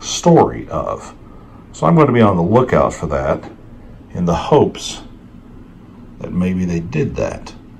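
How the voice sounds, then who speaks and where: A man speaks at a fairly slow pace. Noticeable background noise and audible room echo surround him. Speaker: comic book collector YouTuber. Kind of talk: casual show-and-tell video.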